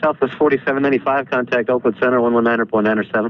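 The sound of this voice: At a very fast pace, a man talks with a medium pitch and fairly even intonation.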